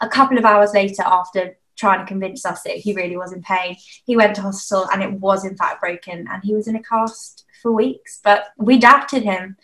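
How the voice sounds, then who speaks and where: A woman's medium-pitched speech, a plain, everyday voice, keeps a moderate pace and fairly even intonation. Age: 20s. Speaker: youth church team member. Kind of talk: casual chat.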